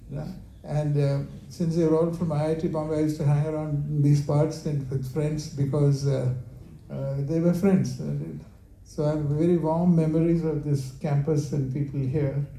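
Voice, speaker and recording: Speaking at a moderate pace, a man has a fairly high pitch, a dark, mellow tone that is somewhat breathy, and fairly even intonation, with audible room echo around him. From India, Kerala. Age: 70s. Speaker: company founder. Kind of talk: talk with Q&A. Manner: halting.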